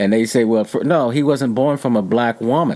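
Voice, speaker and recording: A man's plain, everyday voice at a medium pitch and moderate pace, with lively intonation. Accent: American. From Texas. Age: 60s. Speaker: painter. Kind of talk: interview.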